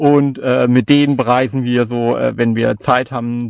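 The speech comes at a very slow pace in a dry, close sound with no echo. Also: man. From Palatinate, Germany (Kaiserslautern). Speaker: podcaster and novelist. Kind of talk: casual chat.

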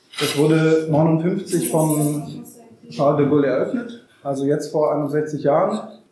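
With audible room echo and noticeable background noise, a man speaks at a fairly slow pace in a fairly high voice with ordinary pitch variation. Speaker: anti-nuclear activist, farm collective member. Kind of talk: public talk with live interpretation. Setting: room with live audience. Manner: deliberately paced for interpreter.

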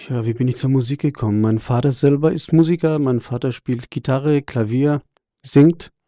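A man talks at a moderate pace and medium pitch. His is an unremarkable speaking voice. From Germany, Freiburg. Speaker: singer and jazz guitarist. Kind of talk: interview.

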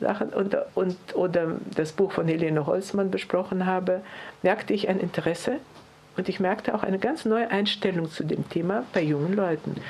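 A woman's medium-pitched voice at a moderate pace, with ordinary pitch variation, very even loudness and noticeable background noise. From Lithuania and Tajikistan. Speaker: Holocaust survivor. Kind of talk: testimony. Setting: press conference.

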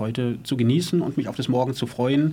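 The man's voice is somewhat breathy. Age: 50s. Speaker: former prisoner, activist. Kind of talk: studio interview. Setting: studio.

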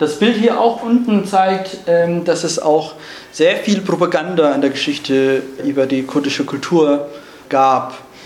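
A man's fairly high voice with lively intonation at a fairly slow pace, with long, frequent pauses, audible room echo and noticeable background noise. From Rojava, northern Syria. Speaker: climate justice speaker, refugee. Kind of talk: lecture. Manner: halting, many fillers.

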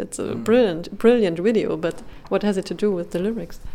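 A woman's medium-pitched voice in a German accent, at a moderate pace. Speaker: radio interviewer. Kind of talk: interview. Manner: halting.

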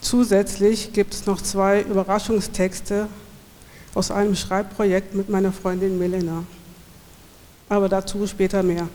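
A medium-pitched woman at a fairly slow pace, monotone and flat, with long, frequent pauses amid noticeable background noise. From Swabia, southern Germany. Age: 40s. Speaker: poet and event host. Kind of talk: poetry reading event, introduction and reading aloud. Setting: live reading in a school hall with audience.

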